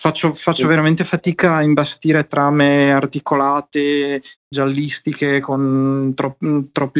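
The man's voice sits fairly high in pitch. He talks at a fairly slow pace, with a dry, close sound and no echo. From Emilia-Romagna, Ferrara. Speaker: writer and visual artist. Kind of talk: interview. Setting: at home during lockdown. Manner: halting, many repeated words.

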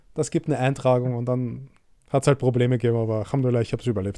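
A dark, mellow tone from a man at medium pitch. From Egyptian family. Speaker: podcast host. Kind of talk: interview.

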